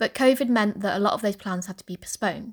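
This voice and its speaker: A woman with a plain, everyday voice and medium pitch speaks fairly quickly, recorded very cleanly against a silent background, with a dry, close sound and no echo. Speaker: linguist and podcast host. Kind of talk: scripted narration.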